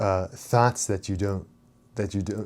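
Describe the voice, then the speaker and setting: A man's voice sits fairly low, with a dark, mellow tone. His intonation stays fairly even. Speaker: spirituality and self-help channel host. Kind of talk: unscripted monologue. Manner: fast; halting, many fillers and repetitions.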